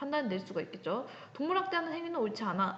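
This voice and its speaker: A woman speaks with very wide pitch swings. There is noticeable background noise and audible room echo. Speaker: high school ethics teacher. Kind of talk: recorded online lecture. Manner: casual, talkative.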